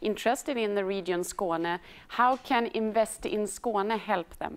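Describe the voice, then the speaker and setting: Fairly slow speech in a Swedish accent. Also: woman. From Sweden. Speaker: embassy department head, moderator. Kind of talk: moderated panel webinar. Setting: studio. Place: hall. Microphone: lapel.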